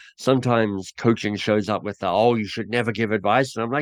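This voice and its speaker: Against a quiet background, a man with an Australian accent and medium pitch speaks at a fairly quick pace. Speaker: author and coaching trainer. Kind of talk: interview conversation.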